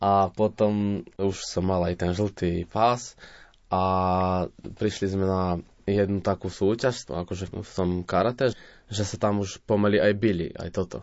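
At a fairly slow pace, a man speaks in a very deep, low voice. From Vojvodina, Serbia (Slovak minority, Selenča). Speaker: folk musician and sound engineer. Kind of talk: interview.

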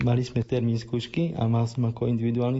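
This man speaks very fast in a medium pitch. His intonation is monotone and flat, and his voice is somewhat breathy. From Slovakia, Rimavská Sobota. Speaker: doctoral student, wheelchair user. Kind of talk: interview.

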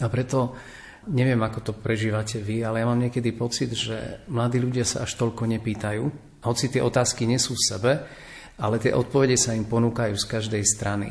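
Fairly quick delivery in a flat, monotone intonation. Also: man, medium pitch for a man. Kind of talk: radio panel discussion.

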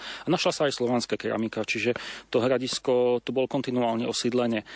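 Against a quiet background, a man at medium pitch talks at a very fast pace in a dry, close sound with no echo. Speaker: local history guide. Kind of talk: on-location interview. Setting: outdoors.

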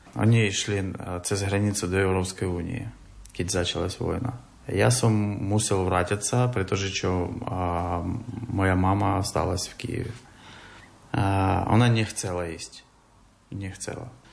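Audible room echo around a man's fairly low voice, fairly slow and fairly even in intonation, with big swings in loudness and long, frequent pauses. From Ukraine, Kyiv. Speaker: refugee. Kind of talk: interview. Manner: halting.

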